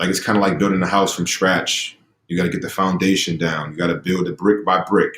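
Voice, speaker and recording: A man's very deep, low voice with an American accent, flat and monotone, at a fairly quick pace. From Boston, Roxbury/Dorchester. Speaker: former pro basketball player and motivational speaker. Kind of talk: interview.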